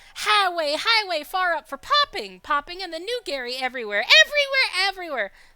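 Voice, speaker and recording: Putting on a squeaky character voice, a woman projects loudly at an extremely high pitch, moving at a fairly quick pace with hardly any pauses and very wide swings in pitch. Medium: game stream. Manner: broken grammar, talks of himself by name, repeats words; gruff, sarcastic.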